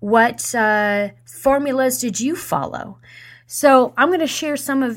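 At a fairly slow pace, a woman with a normal speaking voice uses lively intonation in a very clean recording with a silent background. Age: 40s. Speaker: radio host. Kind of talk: motivational talk.

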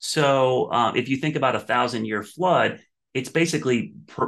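Over a quiet background, a man with an American accent talks in an unremarkable speaking voice at medium pitch with lively intonation. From Ohio, US Midwest. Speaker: TV meteorologist. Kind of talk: casual interview.

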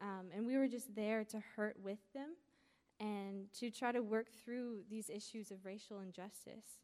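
A woman with a plain, everyday voice speaks slowly-ish at a fairly slow pace, her fairly high pitch held in fairly even intonation. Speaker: college student. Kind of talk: testimony. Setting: stage with audience.

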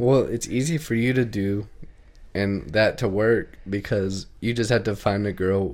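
A man with a Southern US accent speaks slowly-ish, at a fairly slow pace, his pitch fairly low with ordinary variation. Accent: southern, country. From Texas, Indiana and Kentucky. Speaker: podcast co-host. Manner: steady drawn-out cadence, lazy-sounding speech.

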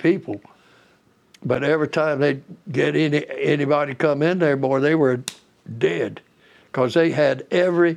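Talking in a Southern US accent, a man with a fairly high pitch keeps a moderate pace. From southeastern North Carolina. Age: 80s+. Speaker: war veteran. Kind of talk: oral history interview. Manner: understated.

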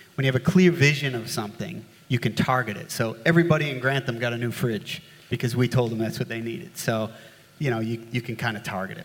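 The speech comes at a very fast pace. Its pitch variation is ordinary. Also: man, medium pitch for a man. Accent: American. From US, upstate New York. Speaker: flood engineering consultant. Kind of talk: panel discussion. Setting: stage with audience. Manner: casual, hesitant fillers.

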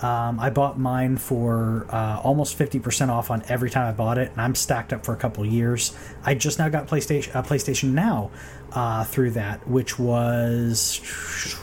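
A medium-pitched man speaks at a moderate pace over noticeable background noise. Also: fairly even intonation. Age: 30s. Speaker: gaming podcast host. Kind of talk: solo casual podcast talk. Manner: halting, many fillers and repeats.

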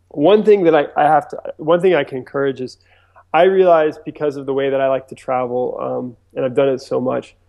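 A man with an American accent talks at a fairly quick pace and a fairly high pitch. His pitch varies in an ordinary way, in a plain, everyday voice. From US East Coast, mainly Virginia Beach. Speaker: filmmaker and director. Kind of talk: interview. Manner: casual, many fillers.

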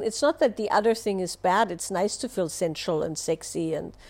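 A woman with an Austrian accent speaks at a medium pitch. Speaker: relationship and wellness teacher. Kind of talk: live Q&A answer, explanatory talk. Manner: explanatory, hesitant with filler words.

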